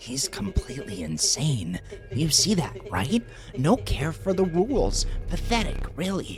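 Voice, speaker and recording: Someone speaks in a put-on character voice at a fairly slow pace. Clear music plays in the background. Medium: role play. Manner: sneering, contemptuous.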